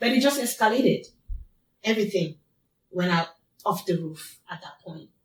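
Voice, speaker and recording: A woman's somewhat breathy voice carries lively intonation, broken by long, frequent pauses. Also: medium pitch for a woman, moderate pace. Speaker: abuse survivor. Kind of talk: testimony.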